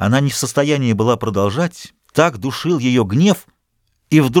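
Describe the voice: Plain reading aloud comes with lively intonation over a quiet background.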